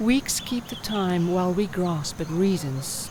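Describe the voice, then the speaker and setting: Over noticeable background noise, a woman at medium pitch speaks very slowly with lively intonation. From South Africa. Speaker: voice artist. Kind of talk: poetry reading.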